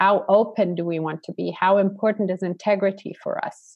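A woman speaks in a normal speaking voice at a moderate pace. Her pitch sits in the medium range, and her intonation is fairly even. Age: 40s. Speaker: coach and event organizer. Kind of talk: interview.

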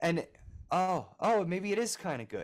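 Speaking with an American accent, a man shows ordinary pitch variation. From US Northeast, Philadelphia. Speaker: music producer and engineer. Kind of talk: interview.

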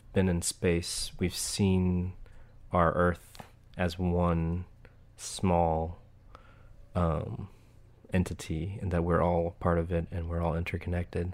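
A man's very slow, monotone delivery at a very deep, low pitch, flat in intonation and broken by long, frequent pauses. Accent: American. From Oklahoma, US (Tulsa). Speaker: city IT staffer and nonprofit board member. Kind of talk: interview conversation. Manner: halting, many filler words.

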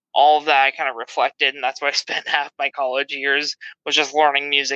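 In an American accent, a man talks with a fairly high pitch. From Southern California, San Diego. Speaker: podcast guest, patron. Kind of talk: casual chat. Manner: animated, laughing often.

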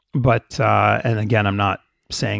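With a Canadian accent and vocal fry, a man speaks against a quiet background in a dry, close sound with no echo. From Canada, of Jamaican family. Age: 40s. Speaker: business managing partner. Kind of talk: casual interview conversation.

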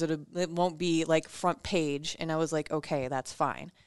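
Against a quiet background, a woman with an American accent and a plain, everyday voice speaks at a fairly slow pace with fairly even intonation. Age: 30s. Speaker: podcast co-host, former radio producer. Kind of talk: casual chat.

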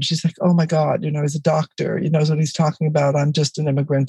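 A woman with a Californian accent speaks at a very deep, low pitch in a dark, mellow, somewhat breathy tone. The sound is dry and close, with no echo. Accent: Californian American. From US, East Los Angeles. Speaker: author and educator. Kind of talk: interview.

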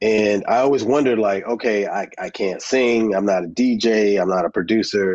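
In a normal speaking voice, a man with an American accent talks at a moderate pace with a fairly low pitch and fairly even intonation. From New Jersey. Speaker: filmmaker. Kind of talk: interview. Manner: casual.

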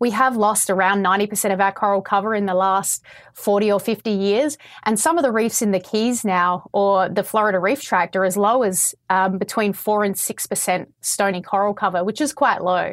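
A woman talks at a fairly quick pace with an Australian accent. Her loudness stays very even. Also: medium pitch for a woman, ordinary pitch variation. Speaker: coral scientist. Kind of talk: interview answers explaining science. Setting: video call.

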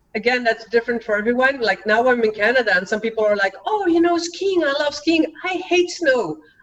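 A woman with a Dutch accent speaks at a fairly quick pace with hardly any pauses. Her high pitch makes very wide swings. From Belgium. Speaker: author and cultural trainer. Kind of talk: casual interview.

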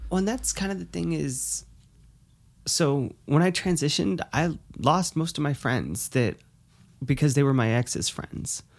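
A woman's very deep, low voice with an American accent and vocal fry, fairly slow with long, frequent pauses and very wide pitch swings, on a very clean recording with a silent background. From New Hampshire, US. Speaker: guest. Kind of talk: casual chat.

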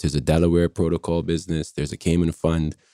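Very deep, low male voice with a dark, mellow tone and monotone, flat intonation, dry and close with no echo, on a very clean recording over a silent background. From Barbados. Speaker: startup CEO. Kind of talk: casual interview.

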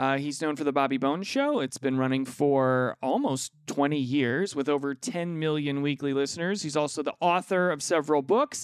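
A man with a fairly high pitch and an unremarkable speaking voice talks at a moderate pace with hardly any pauses and fairly even intonation, recorded with a dry, close sound with no echo. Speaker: podcast host. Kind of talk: casual chat. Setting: video call.

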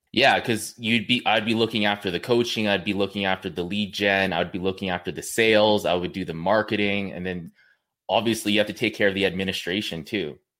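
Very clean and silent in the background, the recording has a man with a Western Canadian accent speaking at a very fast pace in a bright, sharp tone, his pitch fairly low and his intonation fairly even. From Canada, British Columbia (Kamloops). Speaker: online fitness coach. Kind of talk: casual interview chat.

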